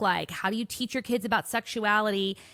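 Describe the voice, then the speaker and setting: This woman speaks with a fairly high pitch and a bright, sharp tone, in a very clean recording with a silent background and a dry, close sound with no echo. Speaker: podcast host. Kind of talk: podcast intro monologue.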